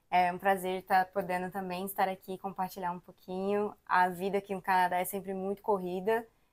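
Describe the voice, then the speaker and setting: At a medium pitch and a moderate pace, a woman talks in a normal speaking voice. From Brazil, Brasília. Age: 20s. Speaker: immigrant, daycare worker. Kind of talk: interview conversation.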